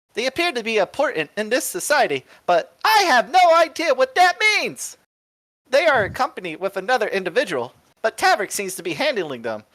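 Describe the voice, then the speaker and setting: A man performs a put-on character voice at an extremely high pitch. His delivery moves at a fairly quick pace. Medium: game stream. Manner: chirpy, mechanical, excitable.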